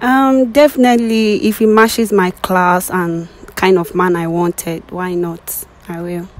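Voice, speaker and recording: A woman speaks at a fairly slow pace, the sound dry with no echo. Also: ordinary pitch variation. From Nigeria, southeast. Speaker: blind date participant; interviewee. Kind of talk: casual conversation. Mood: dismissive, exasperated. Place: street. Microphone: handheld.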